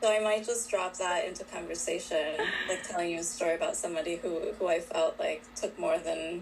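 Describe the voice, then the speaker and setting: A woman speaks fairly quickly, with noticeable background noise present throughout. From Colombia (Bogotá). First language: Spanish. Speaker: author. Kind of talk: interview. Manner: hesitant, many fillers.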